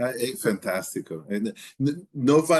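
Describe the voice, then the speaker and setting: A man with a non-native accent at a very slow pace, ordinary pitch variation, and a dry, close sound with no echo. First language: not Portuguese (speaking Portuguese). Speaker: podcast host. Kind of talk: casual interview. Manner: halting, many repeated words.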